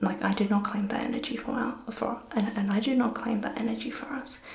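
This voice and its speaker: Over noticeable background noise, a woman with an Australian accent talks at a fairly quick pace with hardly any pauses. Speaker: vlogger. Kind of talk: casual vlog talk. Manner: soft-spoken.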